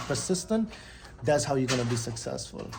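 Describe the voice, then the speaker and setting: A man talks over music in the background, with audible room echo around him. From Guyana. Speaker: vlogger. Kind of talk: motivational talk. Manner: casual, hesitant with many ums.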